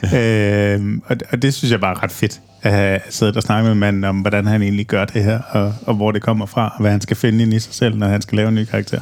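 Over noticeable background noise, a man with a fairly low pitch talks fairly quickly in a monotone, flat way with hardly any pauses. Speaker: podcast host. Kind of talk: casual interview. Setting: venue, recorded outside the studio.

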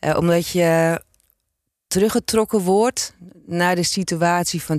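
Recorded very cleanly against a silent background, an unremarkable speaking voice with ordinary pitch variation comes across dry and close with no echo. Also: woman. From Zaanstreek, Netherlands. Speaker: former police officer and author. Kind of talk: interview.

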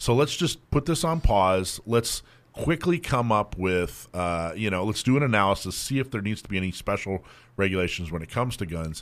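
A man's fairly low voice with an American accent, fairly quick, with very wide pitch swings, on a very clean recording with a silent background. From US South. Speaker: radio host. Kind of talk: casual radio talk. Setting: radio studio. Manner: slurs words together.

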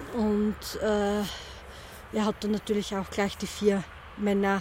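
This woman's voice sits in the middle range. Her delivery is flat and monotone. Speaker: head of a church Roma ministry. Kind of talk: interview.

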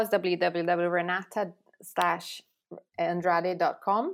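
A medium-pitched woman's voice in a Portuguese accent, in a very clean recording with a silent background. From Brazil. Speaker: relationship therapist. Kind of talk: casual interview. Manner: halting, many repetitions and fillers.

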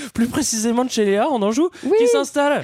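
A man is speaking. His pace is very fast. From Paris region (Val-d'Oise). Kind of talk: casual chat.

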